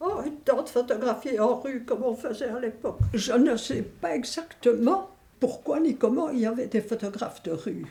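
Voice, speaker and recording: Lively intonation runs through a woman's high-pitched voice as she talks at a fairly slow pace. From Belgium, Verviers (Wallonia). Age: 80s+. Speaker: elderly interviewee, grandmother. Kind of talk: documentary interview, reminiscing. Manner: hesitant, with frequent fillers.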